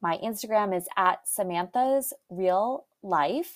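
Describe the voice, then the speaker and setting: A woman with a medium pitch sounds animated, her intonation lively, in a very clean recording with a silent background. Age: 30s. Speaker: podcast host and health coach. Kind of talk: solo motivational talk.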